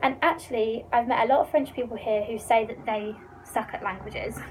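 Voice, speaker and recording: With a British accent, a woman speaks fairly quickly at a fairly high pitch against noticeable background noise. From England. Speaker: student vlogger. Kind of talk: casual vlog Q&A. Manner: animated.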